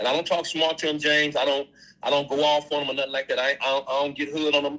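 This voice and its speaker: There is noticeable background noise behind this man. He talks very fast in a fairly high voice. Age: 60s. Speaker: schoolteacher and coach. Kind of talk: live stream call-in chat.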